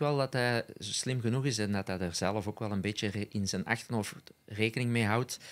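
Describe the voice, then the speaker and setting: Fairly low in pitch, a man speaks at a moderate pace with ordinary pitch variation. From Belgium, Essen (Antwerp Kempen); Belgium. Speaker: former cyclocross rider and co-commentator; co-commentator. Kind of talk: casual chat. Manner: hesitant, many filler sounds. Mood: relaxed, smiling. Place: studio. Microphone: studio mic.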